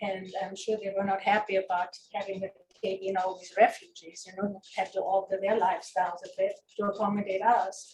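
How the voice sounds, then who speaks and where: A somewhat breathy woman's voice. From Germany, Hessen. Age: 70s. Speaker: guest speaker. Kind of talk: personal life story talk. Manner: halting.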